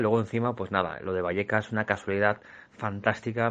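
With a quiet background, a man talks in an ordinary speaking voice, fairly low in pitch and fairly even in intonation. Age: 40s. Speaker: illustrator. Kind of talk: recorded voice message.

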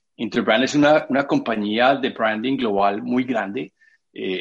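With an Antioquian accent, a man speaks at a moderate pace in a medium-pitched voice. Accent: Colombian paisa Spanish. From Colombia, Medellín. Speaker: architect and creative director. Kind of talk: interview. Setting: video call. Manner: halting.

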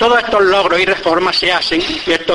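A man with a high pitch speaks in a raised, projected voice at a moderate pace over noticeable background noise. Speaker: presenter introducing the orator. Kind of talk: formal introduction speech before a pregón. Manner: formal, measured.

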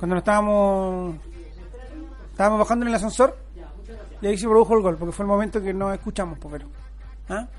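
A man with a Chilean accent, pitched high, very fast yet with long, frequent pauses, in monotone, flat intonation over music in the background. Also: big swings in loudness. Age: 30s. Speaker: sports radio host. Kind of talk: casual chat.

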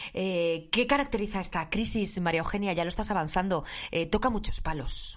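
A woman talks at a moderate pace with a medium pitch and ordinary pitch variation. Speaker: podcast host. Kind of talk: interview. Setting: home studio.

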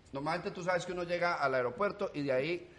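Over noticeable background noise, a man talks at a very fast pace. His tone is animated and his intonation lively. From Colombia, rural. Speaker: comedian. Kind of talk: casual chat.

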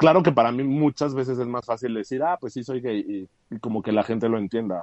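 A normal speaking voice belongs to this man. He talks at a medium pitch, and his pitch varies in an ordinary way. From Mexico, raised in Aguascalientes. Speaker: graphic designer and adult content creator. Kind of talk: casual chat.

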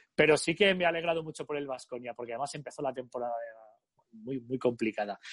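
Pitch varies in an ordinary way as the words come out very fast. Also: man, medium pitch for a man. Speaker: tennis commentator. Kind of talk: interview.

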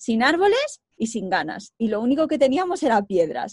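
A woman speaks at a fairly slow pace. Her high voice has very wide pitch swings. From Spain, Segovia. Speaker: co-founder of a reforestation project. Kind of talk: interview.

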